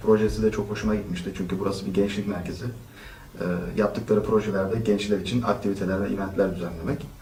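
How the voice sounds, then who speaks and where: Room echo surrounds a man with a fairly low pitch who talks very fast in a monotone, flat intonation. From Turkey, Istanbul. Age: 20s. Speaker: volunteer, engineer. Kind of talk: interview. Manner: hesitant, many fillers.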